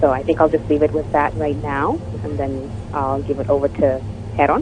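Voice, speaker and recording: With noticeable background noise, the speaker talks at a fairly quick pace in a Canadian accent. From Canada, Toronto. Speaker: activist. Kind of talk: radio panel discussion.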